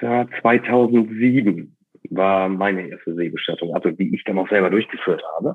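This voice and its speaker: A man speaks in a normal speaking voice, fairly low in pitch, at a fairly slow pace with ordinary pitch variation. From northern Germany, East Frisia coast. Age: 30s. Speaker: ship captain running a sea burial company. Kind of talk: interview.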